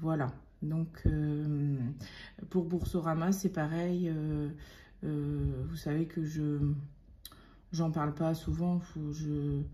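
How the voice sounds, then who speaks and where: Her very deep, low voice is somewhat breathy with a dark, mellow tone. This woman speaks at a very slow pace. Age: 30s. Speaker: budgeting youtuber. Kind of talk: casual monthly budget talk to viewers. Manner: halting, many hesitations.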